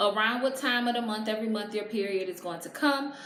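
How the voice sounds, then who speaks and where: There is audible room echo as a woman speaks in an animated tone, her pitch fairly high with ordinary variation. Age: 30s. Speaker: vlogger and blogger. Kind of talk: casual vlog tutorial. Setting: at home with natural lighting.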